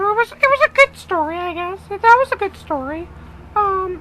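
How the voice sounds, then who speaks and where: Squeaky and extremely high-pitched, a man does a put-on character voice at a moderate pace. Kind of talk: comic crude parody. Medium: solo performance. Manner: stammering, rambling, full of filler words.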